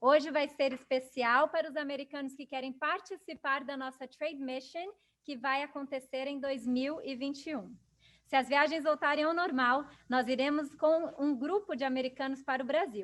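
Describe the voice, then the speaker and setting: In a Portuguese accent, a woman speaks at a fairly quick pace and a high pitch. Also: fairly even intonation. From Brazil. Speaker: business council chair and event moderator. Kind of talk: webinar introduction.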